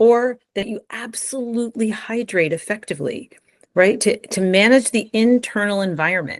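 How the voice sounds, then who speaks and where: A woman speaks at a moderate pace with a fairly high pitch. It is an unremarkable speaking voice. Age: 60s. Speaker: brain optimization coach. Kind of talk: interview.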